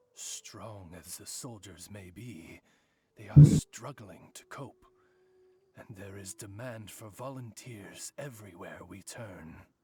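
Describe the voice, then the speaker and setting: Pitched fairly low, a man speaks in a put-on character voice. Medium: video game. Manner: formal, eloquent.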